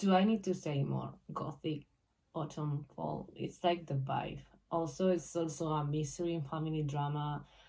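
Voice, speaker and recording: Somewhat breathy and dark, mellow in tone, a woman with a Spanish accent speaks at a fairly slow pace. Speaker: booktuber. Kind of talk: casual vlog talk. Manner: halting, many fillers.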